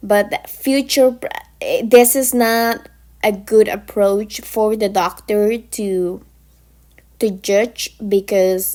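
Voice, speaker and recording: Speaking in a non-native accent, a woman has a fairly high pitch and a dark, mellow tone with fairly even intonation. Her pace is very slow, with long, frequent pauses. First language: not English. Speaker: pharmacy technician educator. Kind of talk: informal lecture. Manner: halting.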